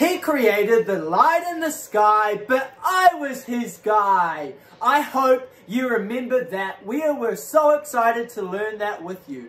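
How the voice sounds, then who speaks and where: A man talks at a very slow pace with big swings in loudness. Audible room echo fills the recording. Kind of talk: children's Bible lesson. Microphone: camera far.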